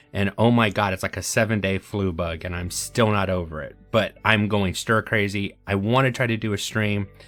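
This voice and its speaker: Speech at a moderate pace with ordinary pitch variation, over music in the background. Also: man. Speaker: gaming streamer. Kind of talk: gameplay commentary.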